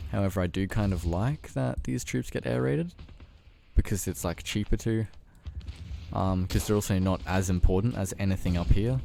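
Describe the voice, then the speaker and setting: In a relaxed tone, a man with a very deep, low pitch and a dark, mellow sound speaks at a moderate pace with lively intonation. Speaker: gaming youtuber. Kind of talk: gameplay commentary. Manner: casual, relaxed.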